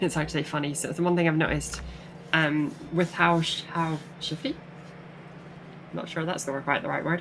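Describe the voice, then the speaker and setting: A woman with an American accent, very deep and low in pitch, monotone and flat, at a moderate pace with long, frequent pauses, over noticeable background noise. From Britain. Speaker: gaming streamer. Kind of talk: live game stream chat. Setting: live stream with green screen. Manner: halting, many fillers and repeated words.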